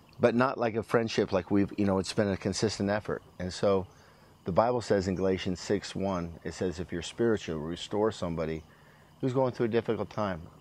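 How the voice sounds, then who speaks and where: Talking at a fairly quick pace, a man with an American accent has a fairly low pitch and ordinary pitch variation. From US Northwest, Washington state. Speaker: former pro football player and preacher. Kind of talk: casual chat.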